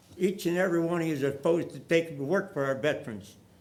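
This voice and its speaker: A fairly quick voice with an American accent, ordinary pitch variation and audible room echo. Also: man. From US Midwest, St. Louis area. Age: 90s. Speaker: war veteran speaking at public forum. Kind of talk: public comment speech. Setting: council meeting chamber. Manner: halting; earnest, pleading.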